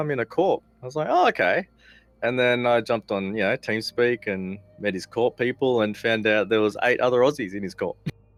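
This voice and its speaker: Talking at a fairly quick pace, a man with an Australian accent uses a medium pitch. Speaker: gamer, council candidate, former soldier. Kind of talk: interview.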